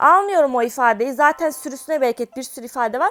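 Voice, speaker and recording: A woman speaks at a high pitch and a fairly quick pace, animated in tone with lively intonation. The recording is very clean, with a silent background. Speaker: gaming youtuber. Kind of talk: gameplay commentary.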